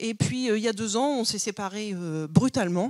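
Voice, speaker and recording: Pitch varies in an ordinary way at a moderate pace. Behind it, the recording is very clean and silent. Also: woman. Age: 40s. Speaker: aspiring goat farmer. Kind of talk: project pitch. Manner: hesitant, many fillers.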